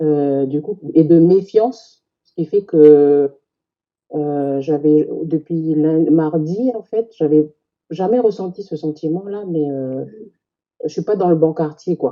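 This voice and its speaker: A woman's very deep, low voice, very slow, with ordinary pitch variation and big swings in loudness. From New Caledonia, Kanak, grew up in Houaïlou. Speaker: Kanak community member. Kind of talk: casual discussion.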